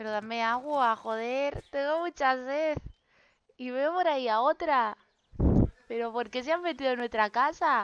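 A woman with a high pitch and ordinary pitch variation speaks at a fairly slow pace, leaving long, frequent pauses. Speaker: gaming youtuber. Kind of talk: gameplay commentary. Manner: animated.

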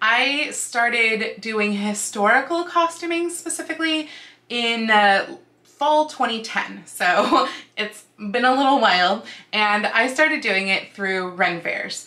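The speaker has lively intonation while going at a very slow pace. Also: woman. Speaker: costuming vlogger. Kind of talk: casual vlog chat. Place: home room.

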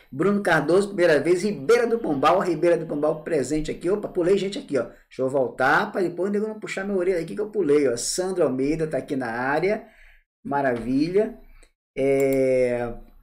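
This man's voice is fairly high in pitch, animated in tone and lively in intonation, moving at a moderate pace. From Bahia, Brazil (Salvador). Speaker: tax law teacher. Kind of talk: live online class. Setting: live stream. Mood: warm, informal. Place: home room. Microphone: earbuds.

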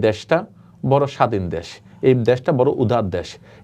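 The background is quiet as a man speaks with lively intonation. His voice is medium in pitch, with a dark, mellow tone. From Bangladesh, Chittagong. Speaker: Buddhist monk. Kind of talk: interview.

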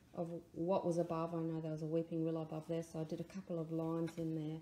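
Light background noise and audible room echo around a woman speaking. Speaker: art teacher. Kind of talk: tutorial.

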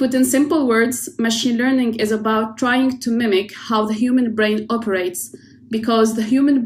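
A woman with an ordinary speaking voice talks at a moderate pace, her pitch fairly high with ordinary pitch variation, over light background noise. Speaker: oceanographer. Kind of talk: prerecorded presentation. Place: home room. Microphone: webcam.

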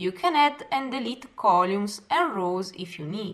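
With a non-native accent, a woman speaks at a very slow pace in a medium pitch, her voice making very wide pitch swings. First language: not English. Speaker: software tutorial teacher. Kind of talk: software tutorial narration.

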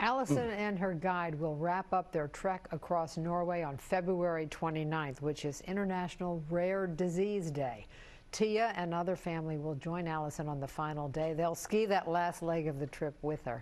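Speaking at a moderate pace with hardly any pauses, a woman uses ordinary pitch variation. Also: fairly low pitch for a woman. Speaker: news anchor. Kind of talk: news reading then banter. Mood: warm, upbeat. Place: studio. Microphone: lapel.

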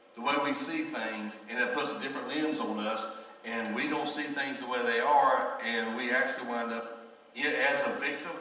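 Audible room echo surrounds a man talking at a moderate pace. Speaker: pastor. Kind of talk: sermon. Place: church.

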